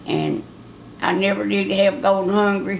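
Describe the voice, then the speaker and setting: Against noticeable background noise, a woman with a Southern US accent speaks at a medium pitch. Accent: rural Southern American. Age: 70s. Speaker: grandmother. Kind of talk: interview answer. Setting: home recording for a time capsule project.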